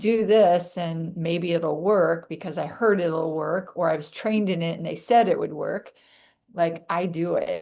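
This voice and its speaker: Fairly slow and fairly low-pitched, a woman's voice carries a dark, mellow tone. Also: fairly even intonation. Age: 60s.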